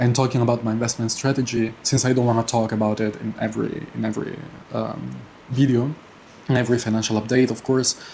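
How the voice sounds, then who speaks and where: A man talks at a very fast pace and a medium pitch. His intonation is monotone and flat. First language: not English. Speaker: personal finance vlogger. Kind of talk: casual monthly finance update vlog. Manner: halting, many fillers and repetitions.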